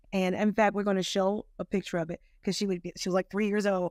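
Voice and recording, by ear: A woman speaks fast in a fairly low voice, with little pitch movement. The sound is dry and close, with no echo.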